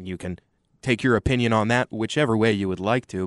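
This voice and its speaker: Man with a normal speaking voice and an American accent, moderate pace and ordinary pitch variation, dry and close with no echo over a quiet background. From Texas, Austin. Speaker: sports commentator. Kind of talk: casual sports talk.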